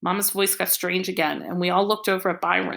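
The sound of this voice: Here the voice is an unforced reading voice.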